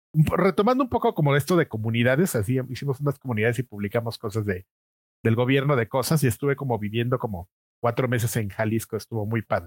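With a Mexico City accent, a man at medium pitch talks very fast in a somewhat breathy voice with ordinary pitch variation, recorded dry and close with no echo. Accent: Mexico City Spanish (chilango). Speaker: video game magazine editor. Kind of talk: casual interview chat.

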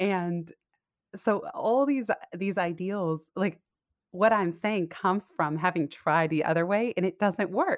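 A woman with an American accent speaks at a medium pitch with ordinary pitch variation and very even loudness. The recording is very clean, with a silent background. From California, Silicon Valley. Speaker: business coach. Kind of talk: interview.

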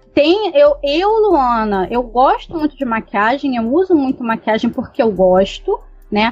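A woman's high-pitched voice with very wide pitch swings at a fairly slow pace. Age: 30s. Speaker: guest panelist. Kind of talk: casual discussion.

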